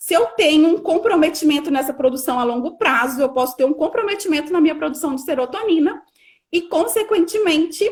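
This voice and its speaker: Speaking at a fairly quick pace, a woman has extremely high pitch and lively intonation. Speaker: nutritionist. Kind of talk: lecture.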